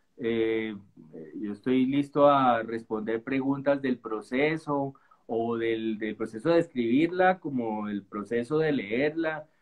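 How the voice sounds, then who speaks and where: A man talks very slowly, his pitch moving in an ordinary way. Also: medium pitch for a man. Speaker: novelist. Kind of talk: reading aloud; casual chat.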